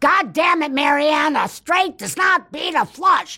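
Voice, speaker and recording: A put-on character voice shouts at a high pitch. The pace is fairly slow. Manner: screaming, angry.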